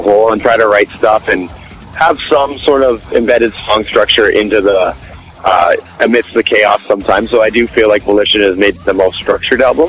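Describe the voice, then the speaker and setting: A man with a Canadian accent at a medium pitch, ordinary pitch variation, very even loudness and a fairly quick pace, with music in the background. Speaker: rock guitarist. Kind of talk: interview.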